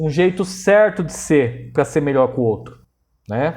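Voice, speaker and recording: This man speaks at a fairly slow pace, his pitch swinging very widely. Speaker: history teacher. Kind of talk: lecture. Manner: casual, slang-laden.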